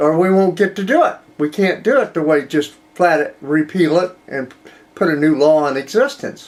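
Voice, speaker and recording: At a moderate pace, a man with an American accent speaks in a high pitch with ordinary pitch variation. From US Midwest. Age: 70s. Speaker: political commentary show host. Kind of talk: political commentary monologue. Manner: conversational, with repeated false starts.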